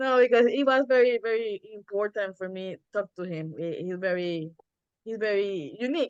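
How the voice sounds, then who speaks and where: With a Spanish accent and lively intonation, a woman speaks at medium pitch and a moderate pace, her loudness swinging widely in a dry, close sound with no echo. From Puerto Rico. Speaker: community organizer, Lyft driver. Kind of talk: self-introduction on group call. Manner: halting.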